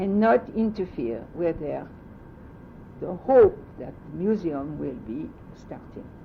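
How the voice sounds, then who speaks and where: Speaking very slowly with long, frequent pauses, a woman with a French accent shows very wide pitch swings and vocal fry. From France. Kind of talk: oral history interview answer.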